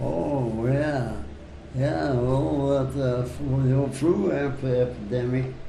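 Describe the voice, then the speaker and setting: A man speaks very slowly at a medium pitch, with noticeable background noise behind him. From Netherlands. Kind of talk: interview answer. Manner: hesitant, slow.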